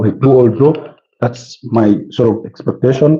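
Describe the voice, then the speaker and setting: Doing a put-on character voice, a man sounds hoarse at a medium pitch, with fairly even intonation and a moderate pace. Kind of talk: football punditry.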